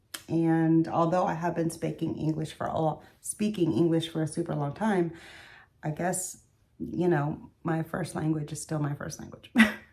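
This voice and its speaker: In a Spanish accent, a dark, mellow voice carries fairly even intonation at a moderate pace. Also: woman, fairly low pitch for a woman. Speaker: beauty vlogger. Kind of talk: casual chat. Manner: casual, hesitant with fillers.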